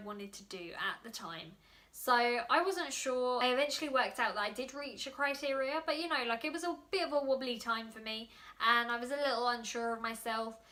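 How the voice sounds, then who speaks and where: With a London accent, a woman speaks at a high pitch with ordinary pitch variation. Noticeable background noise can be heard. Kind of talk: casual vlog. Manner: fast.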